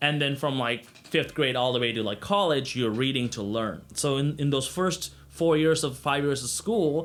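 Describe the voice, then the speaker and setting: Speaking with an ordinary speaking voice, a man keeps a moderate pace with hardly any pauses. His pitch is fairly high, with ordinary variation. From Sri Lanka, moved to US at ten. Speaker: YouTuber. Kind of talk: personal story vlog. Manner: casual, many fillers.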